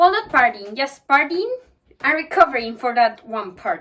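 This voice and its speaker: A woman talks in a bright, sharp tone, her pitch swinging very widely. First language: not English. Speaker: book vlogger. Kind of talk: casual talk to camera.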